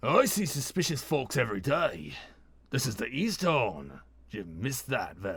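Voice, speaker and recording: A man does a raspy put-on character voice at a medium pitch. His pitch swings very widely at a moderate pace. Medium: read story. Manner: casual, plain-spoken.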